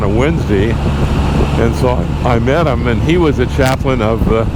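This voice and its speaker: Male speech with huge pitch leaps, clear room echo and plain background noise. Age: 80s+. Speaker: motorcycle vlogger. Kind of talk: casual monologue. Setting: outdoors in the mountains. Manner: halting, with many fillers and restarts.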